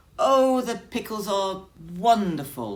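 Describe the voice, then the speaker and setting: In a squeaky put-on character voice, the speaker moves at a fairly slow pace with lively intonation. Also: woman, medium pitch for a woman. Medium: read story.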